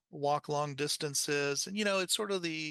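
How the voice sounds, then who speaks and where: Over a quiet background, a man speaks with a bright, sharp tone at a fairly high pitch. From Panama, then Texas from age ten. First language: Spanish. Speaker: educational technology specialist, former teacher. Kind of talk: podcast interview. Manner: hesitant, many fillers.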